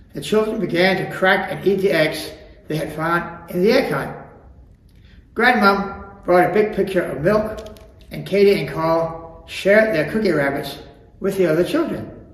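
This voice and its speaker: A man's high-pitched voice at a moderate pace, with ordinary pitch variation, long, frequent pauses and noticeable background noise. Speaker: storyteller. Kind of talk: children's storybook reading.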